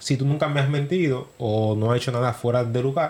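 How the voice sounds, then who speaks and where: Somewhat breathy male voice at medium pitch, with ordinary pitch variation and a moderate pace. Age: 30s. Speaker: podcast co-host. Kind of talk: casual chat.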